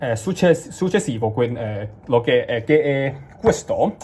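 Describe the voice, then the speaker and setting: A man talks very slowly in a fairly high pitch with lively intonation. He has a Cantonese accent. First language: Cantonese (speaking Italian). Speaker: language learner vlogger. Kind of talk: casual vlog. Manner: halting, many fillers and restarts.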